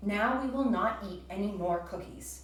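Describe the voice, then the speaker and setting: There's a slight echo as a woman puts on a character voice at a medium pitch. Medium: read story. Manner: calm, gentle.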